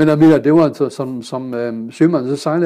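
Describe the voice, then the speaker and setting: With a German accent, a man speaks at a moderate pace in a fairly high pitch, his intonation fairly even and his tone dark and mellow. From Germany (Kiel). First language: German (speaking Danish). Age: 70s. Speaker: pilot and public speaker. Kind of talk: casual interview. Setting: club room. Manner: hesitant, many fillers.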